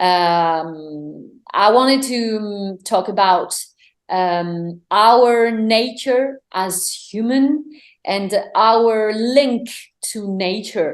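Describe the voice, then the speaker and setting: In a French accent, a woman speaks very slowly at a fairly high pitch with ordinary pitch variation. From France. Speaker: singer-songwriter. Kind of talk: interview. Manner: halting, many fillers and repetitions.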